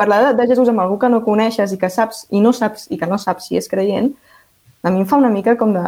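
With a Catalan accent, a woman speaks at a medium pitch and fairly quick pace, her tone dark and mellow and her pitch variation ordinary. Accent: Catalan (central). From Catalonia, Vallès Oriental. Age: 20s. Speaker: law and politics student. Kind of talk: round-table discussion.

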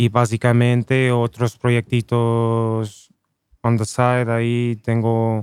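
Monotone, flat speech from a man at medium pitch, with a dry, close sound and no echo. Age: 30s. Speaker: rapper. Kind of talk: casual chat.

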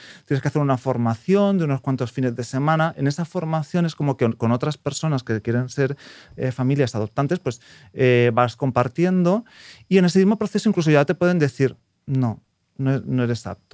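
A man with a plain, everyday voice speaks at a fairly high pitch. His pace is fairly quick and his intonation lively. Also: dry, close sound with no echo. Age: 30s. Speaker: prospective adoptive parent. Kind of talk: interview.

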